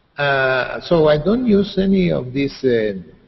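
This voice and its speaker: Somewhat breathy, the voice carries lively intonation. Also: man. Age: 60s. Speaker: writer and psychologist. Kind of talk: interview. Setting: video call. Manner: halting, repetitive.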